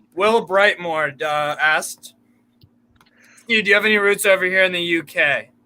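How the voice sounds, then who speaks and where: With an American accent, a man uses a raised, projected voice with a bright, sharp tone and high pitch, keeping his intonation fairly even and leaving long, frequent pauses. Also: moderate pace. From United States. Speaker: football fan co-host. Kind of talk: casual live-stream chat.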